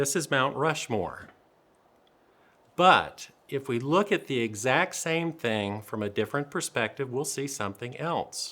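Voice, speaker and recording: With a Southern US accent, a man speaks at a medium pitch and a fairly slow pace, using lively intonation and a bright, sharp tone. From US South. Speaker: dentist presenter. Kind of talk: lecture. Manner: dry humor delivery.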